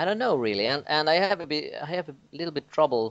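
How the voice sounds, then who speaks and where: Here is a man with a Swedish accent. His intonation is lively. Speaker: podcast co-host. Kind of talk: casual chat. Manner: halting.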